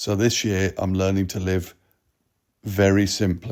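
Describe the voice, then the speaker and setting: A dark, mellow voice with a British accent speaks at a fairly slow pace. The recording is very clean, with a silent background. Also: man. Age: 60s. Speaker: vlogger. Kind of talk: casual vlog commentary.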